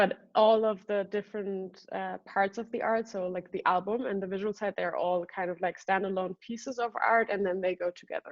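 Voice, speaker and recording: A woman with a non-native accent speaks at a medium pitch. Her intonation is monotone and flat, with hardly any pauses. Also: moderate pace. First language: not English. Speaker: singer and artist. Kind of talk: interview. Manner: halting, many fillers.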